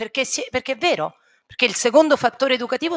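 A woman's very fast speech with vocal fry over a quiet background. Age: 50s. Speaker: primary school teacher. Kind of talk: talk to students; lecture. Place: hall. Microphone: podium.

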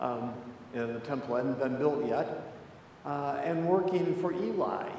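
Through light background noise and audible room echo, a man talks at a very slow pace. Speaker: pastor. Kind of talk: sermon. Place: church.

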